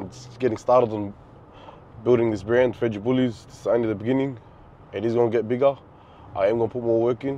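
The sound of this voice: A man's medium-pitched voice with a dark, mellow tone, fairly even intonation, a fairly quick pace and long, frequent pauses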